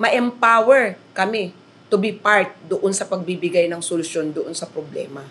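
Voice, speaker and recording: A woman speaks at a moderate pace in an unremarkable speaking voice, with ordinary pitch variation. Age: 50s. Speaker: teacher. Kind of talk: interview.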